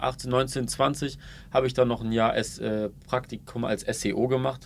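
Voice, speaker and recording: Very slow and monotone, a man speaks at a medium pitch with flat intonation. His voice has vocal fry, and his pauses are long and frequent. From Ulm, Baden-Württemberg (Swabia). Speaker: marketing entrepreneur and video creator. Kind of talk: casual interview chat.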